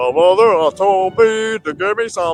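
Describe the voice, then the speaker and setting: A man's put-on character voice at a high pitch. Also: moderate pace. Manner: dopey, lumbering.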